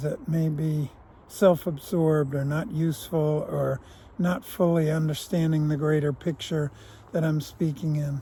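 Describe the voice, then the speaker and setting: At a fairly slow pace, a man with an unremarkable speaking voice and fairly high pitch keeps his intonation fairly even. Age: 60s. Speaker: vlogger, former prisoner. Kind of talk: reflective monologue. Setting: outdoors on a walk.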